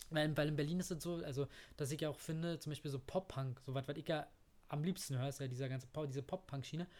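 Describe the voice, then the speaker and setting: Very fast and somewhat breathy, a man speaks at a fairly high pitch with fairly even intonation. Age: 30s. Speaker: podcast host. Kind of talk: casual chat. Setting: at the guest's home.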